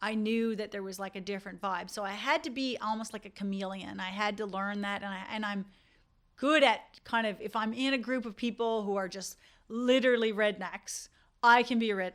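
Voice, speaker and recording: A woman at a fairly quick pace, in a very clean recording with a silent background. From Canada, rural Newfoundland. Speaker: dentist. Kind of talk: podcast monologue.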